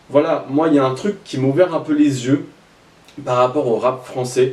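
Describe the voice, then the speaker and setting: Speech from a man, ordinary in pitch variation, set against noticeable background noise. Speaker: rap news YouTuber. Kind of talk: casual commentary. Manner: fast.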